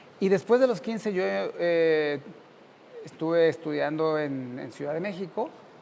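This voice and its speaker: A man talks in an ordinary speaking voice, fairly high in pitch. His pace is fairly slow and his intonation lively. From central Mexico (Cuautla, Morelos), then Mexico City. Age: 50s. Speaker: university professor. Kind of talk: interview.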